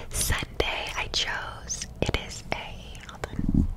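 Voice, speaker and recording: A woman is whispering. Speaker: ASMR creator. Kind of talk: ASMR whisper ramble to camera. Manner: whispered, soft-spoken. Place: home room. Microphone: studio mic.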